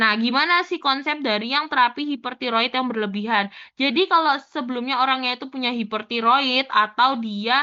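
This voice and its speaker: A woman talks at a fairly quick pace with hardly any pauses. Her pitch is high, with ordinary pitch variation. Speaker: pharmacy student tutor. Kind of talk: tutorial. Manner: casual.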